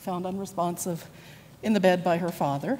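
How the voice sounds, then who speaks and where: A woman's fairly low voice, dark and mellow in tone, at a fairly quick pace with audible room echo. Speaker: nurse. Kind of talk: conference presentation. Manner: halting, many fillers.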